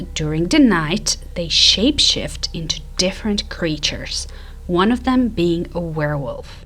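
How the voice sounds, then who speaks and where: Noticeable background noise fills the recording. Through it, a woman talks at a fairly slow pace. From Croatia. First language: Croatian. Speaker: YouTuber. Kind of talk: casual video narration.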